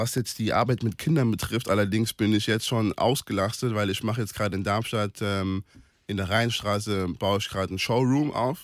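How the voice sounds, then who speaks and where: A man's fairly low voice at a moderate pace, fairly even in intonation, a plain, everyday voice. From Palatinate, Germany (Kaiserslautern). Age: 20s. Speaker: sports event organizer. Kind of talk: radio interview.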